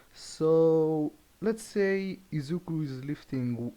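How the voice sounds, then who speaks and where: A man's dark, mellow tone carries normal rises and falls in pitch over a quiet background. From Europe. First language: not English. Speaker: fan fiction storyteller. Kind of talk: casual improvised storytelling. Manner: halting, many restarts and fillers.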